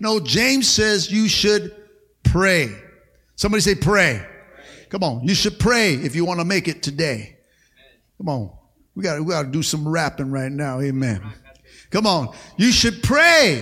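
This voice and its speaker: This man has a bright, sharp tone, a high pitch and an animated delivery with very wide pitch swings. He talks at a fairly slow pace, with long, frequent pauses. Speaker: pastor. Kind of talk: sermon to a live congregation. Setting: church. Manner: animated, rhythmic call-and-response preaching, punchy short exhortations; repeats words and fillers, stops and restarts, punctuates with 'amen'.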